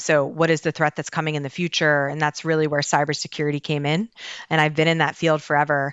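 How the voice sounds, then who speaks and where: In a very deep, low voice, a woman speaks very fast with monotone, flat intonation. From Baltimore, Maryland, US. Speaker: cybersecurity official at a government agency. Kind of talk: podcast interview.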